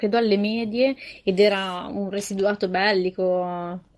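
A woman's voice against a quiet background. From Milan area, northern Italy. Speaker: podcast guest. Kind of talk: casual chat.

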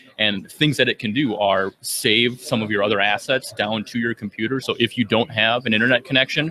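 Amid noticeable background noise, a man of medium pitch talks at a fairly quick pace with an American accent and fairly even intonation. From Minnesota. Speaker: software trainer and developer. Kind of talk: casual interview. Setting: conference floor.

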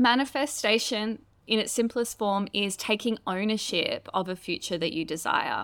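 The Australian accent comes through on a very clean recording with a silent background. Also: woman, fairly high pitch for a woman, ordinary pitch variation, moderate pace. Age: 30s. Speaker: author and astrologer. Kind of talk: interview conversation.

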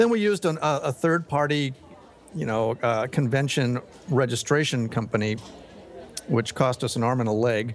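This man talks at a moderate pace and medium pitch, with ordinary pitch variation. He leaves long, frequent pauses. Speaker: voice convention organizer. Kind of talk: casual chat.

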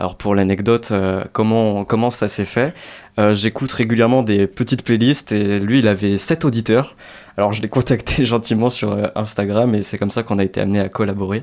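In a very clean recording with a silent background, a man with a fairly low pitch has an unremarkable speaking voice and fairly even intonation. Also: moderate pace. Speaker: student podcaster. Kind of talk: radio interview.

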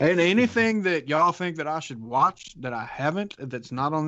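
With a Southern US accent, a man speaks at a moderate pace in a fairly high pitch. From US South. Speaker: podcast co-host. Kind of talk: casual chat.

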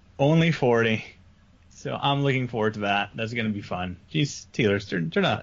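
At a moderate pace, a man talks in an ordinary speaking voice. His medium pitch moves with lively intonation. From French Canada. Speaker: podcast co-host. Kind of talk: casual chat.

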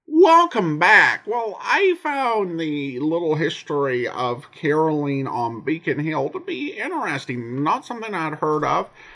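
A man's fairly slow speech with hardly any pauses, over noticeable background noise. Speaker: podcast host. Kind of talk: casual podcast host intro and outro.

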